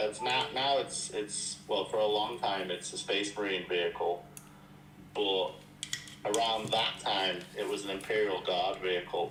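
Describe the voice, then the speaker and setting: Speaking at a fairly slow pace, a man with a fairly low pitch keeps his loudness very even amid audible room echo. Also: ordinary pitch variation. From England. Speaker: miniature painter. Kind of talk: casual chat.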